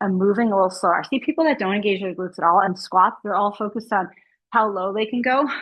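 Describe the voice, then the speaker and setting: A woman talking very fast, medium in pitch, with ordinary pitch variation. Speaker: fitness instructor. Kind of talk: exercise class instruction.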